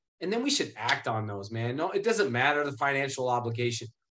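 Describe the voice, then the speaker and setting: A man with an American accent lets his pitch swing very widely. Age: 30s. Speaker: youth advocate, nonprofit founder. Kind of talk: life story testimony. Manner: halting, repeats words.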